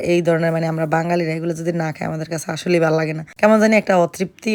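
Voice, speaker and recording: A woman talks at a fairly low pitch with monotone, flat intonation. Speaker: vlogger. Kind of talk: casual cooking vlog narration.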